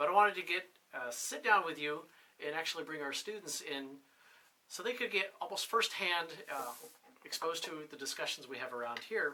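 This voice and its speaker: In a New England accent, a man talks at a fairly quick pace with a high pitch and lively intonation. Long, frequent pauses break up his speech. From New Hampshire. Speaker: military officer and instructor. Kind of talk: casual interview. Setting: on-camera 360 video interview.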